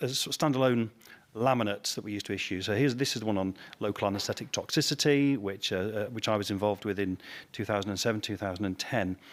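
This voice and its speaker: Very fast and fairly low-pitched, a man with a British accent talks with ordinary pitch variation. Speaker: anesthesiologist. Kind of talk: conference talk. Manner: halting.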